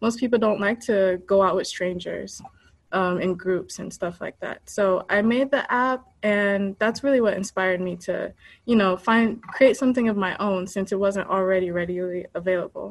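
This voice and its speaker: At a moderate pace, a woman with an American accent speaks at a medium pitch in an unremarkable speaking voice. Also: fairly even intonation. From United States, Haitian American family. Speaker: app creator. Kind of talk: interview.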